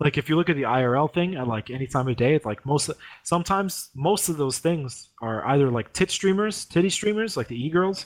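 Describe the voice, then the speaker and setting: In a very clean recording with a silent background, a man has a plain, everyday voice at a fairly high pitch, with lively intonation and hardly any pauses. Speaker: podcast co-host. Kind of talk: casual chat.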